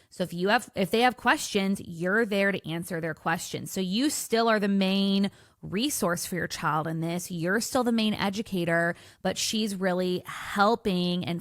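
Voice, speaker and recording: With a plain, everyday voice, a woman talks at a moderate pace and medium pitch, using ordinary pitch variation. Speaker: podcast host. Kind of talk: podcast intro monologue.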